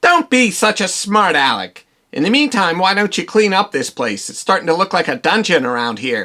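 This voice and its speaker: A cartoonish character voice at a middle pitch moves at a moderate pace with very wide pitch swings. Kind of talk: comic overacting. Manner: theatrical, cackling villain.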